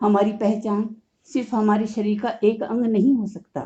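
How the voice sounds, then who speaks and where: A dark, mellow tone, somewhat breathy. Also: woman. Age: 60s. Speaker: COPD patient and awareness podcaster. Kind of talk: motivational monologue.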